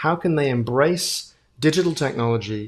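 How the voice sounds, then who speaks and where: A man speaks with a strong British accent. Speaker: futurist. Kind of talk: keynote talk. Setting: virtual event.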